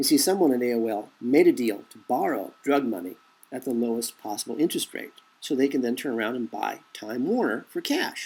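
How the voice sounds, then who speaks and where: On a very clean recording with a silent background, a man in an ordinary speaking voice talks fairly quickly at a medium pitch, with ordinary pitch variation and big swings in loudness. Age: 50s. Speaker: conspiracy commentator. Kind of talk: monologue commentary.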